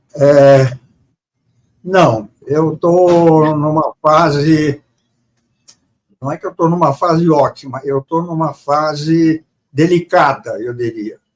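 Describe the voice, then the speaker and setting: At a very slow pace with long, frequent pauses, a man speaks at a fairly high pitch and fairly even intonation, in a dry, close sound with no echo. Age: 80s+. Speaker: author. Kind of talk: interview. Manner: halting, repeats words.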